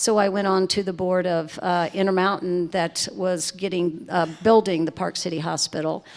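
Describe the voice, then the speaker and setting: A woman speaks with a Southern US accent. Her pitch is fairly low and her intonation fairly even. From US South, Lake Charles, Louisiana. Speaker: resort managing director. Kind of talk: panel conversation.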